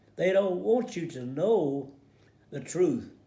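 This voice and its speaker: A man speaks at a fairly slow pace with a high pitch and a dark, mellow tone. Audible room echo surrounds his voice. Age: 80s+. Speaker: war veteran. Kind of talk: casual commentary. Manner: halting, many repeated words.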